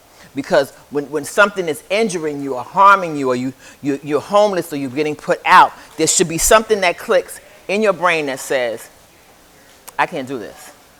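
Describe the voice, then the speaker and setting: A man with a fairly high voice speaks at a moderate pace in an animated tone, his intonation lively over noticeable background noise. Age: 70s. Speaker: recovery group speaker and community outreach worker. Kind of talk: motivational talk to a recovery group. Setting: group meeting in a recovery home. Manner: animated, interacting with the audience.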